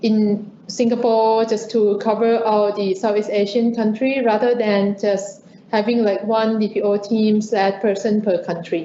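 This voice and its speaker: Audible room echo surrounds a woman with a Thai accent. She talks at a fairly slow pace with fairly even intonation. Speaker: lawyer moderating a webinar. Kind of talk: webinar interview.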